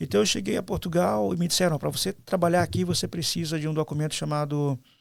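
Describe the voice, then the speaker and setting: With very wide pitch swings and a fairly high pitch, a man talks at a very fast pace in a very clean recording with a silent background. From Brazil. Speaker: pastor. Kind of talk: interview conversation. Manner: hesitant, many fillers.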